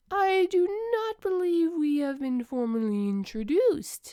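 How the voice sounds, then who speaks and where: A woman's put-on character voice, extremely high, with very wide pitch swings at a fairly slow pace. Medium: read story. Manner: formal, literal.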